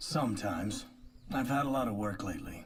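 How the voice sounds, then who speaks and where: A man uses a raspy, put-on character voice at medium pitch. He talks at a fairly quick pace with audible echo. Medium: fan dub. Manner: terse, flat, few words.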